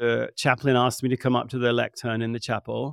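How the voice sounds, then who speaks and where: A man with a British accent talks at a fairly quick pace. The recording is very clean, with a silent background and a dry, close sound without echo. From England. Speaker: author and researcher. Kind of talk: podcast interview.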